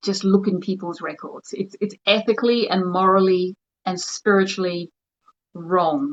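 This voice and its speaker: A woman speaks in an Australian accent at medium pitch with ordinary pitch variation. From New Zealand (Wairoa, Hawke's Bay), moved to Australia at ten. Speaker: spiritual healer. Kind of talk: online livestream talk.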